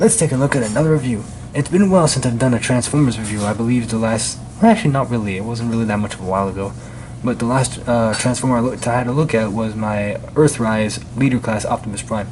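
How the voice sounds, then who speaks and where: Quiet and very fast, a man speaks at a medium pitch with ordinary pitch variation amid noticeable background noise. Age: 20s. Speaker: toy reviewer YouTuber. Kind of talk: product review. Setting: indoors, different location at night. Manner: quiet, lowered voice; casual, hesitant with fillers.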